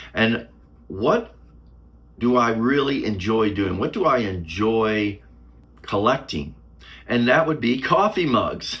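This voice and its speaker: A man at a very slow pace, lively in intonation, with long, frequent pauses. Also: medium pitch for a man. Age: 60s. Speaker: YouTuber. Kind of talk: casual vlog talk to camera. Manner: halting.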